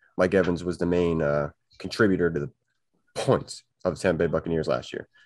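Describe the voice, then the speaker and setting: Against a quiet background, a man speaks in a dry sound with no echo. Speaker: fantasy football podcaster. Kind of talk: casual chat. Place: home room. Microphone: video call.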